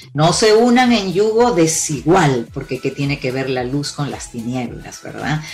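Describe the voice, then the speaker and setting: Over noticeable background noise, a woman with a very deep, low pitch talks at a moderate pace with lively intonation. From Peru. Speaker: couples therapist. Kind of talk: interview.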